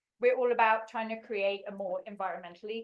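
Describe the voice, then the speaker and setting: A woman speaks at a very fast pace. Her voice is fairly high-pitched, with a slight English accent. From England. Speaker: non-profit executive director. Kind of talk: presentation. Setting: public meeting.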